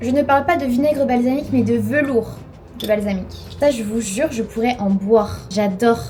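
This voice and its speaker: An animated tone with ordinary pitch variation, set against noticeable background noise. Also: woman, fairly high pitch for a woman, moderate pace. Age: 20s. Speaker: lifestyle vlogger. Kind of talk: casual vlog talk. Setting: at home, kitchen.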